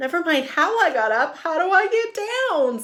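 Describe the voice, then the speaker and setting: A squeaky, put-on character voice sits at an extremely high pitch with very wide swings. The pace is moderate. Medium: read story. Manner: playful, teasing.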